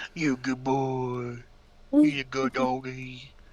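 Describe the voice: Against a quiet background, a put-on character voice delivers low-to-middle pitch in a monotone, flat intonation.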